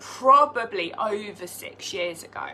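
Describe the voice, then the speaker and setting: With lively intonation and a fairly high pitch, a woman talks over noticeable background noise. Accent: British. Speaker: direct sales team leader. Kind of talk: live team training. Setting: live video stream.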